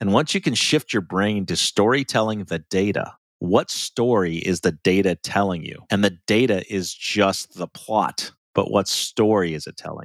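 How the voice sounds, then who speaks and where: A man with a normal speaking voice and an American accent, fairly low in pitch, moderate in pace, with ordinary pitch variation and big swings in loudness, on a very clean recording with a silent background and a dry, close sound with no echo. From US Midwest, small-town Ohio. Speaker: finance executive and consultant. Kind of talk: interview.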